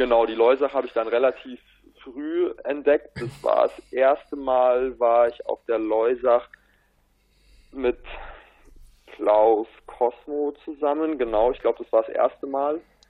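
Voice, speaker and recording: This man speaks at a very slow pace. His speech is broken by long, frequent pauses. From Bavaria, south of Munich. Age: young. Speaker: stand-up paddling athlete. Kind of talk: casual interview.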